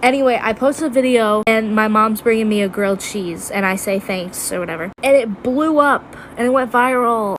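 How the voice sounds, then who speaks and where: Noticeable background noise runs under speech that has ordinary pitch variation and hardly any pauses. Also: woman, fairly high pitch for a woman, moderate pace. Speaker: TikTok creator. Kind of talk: casual storytelling.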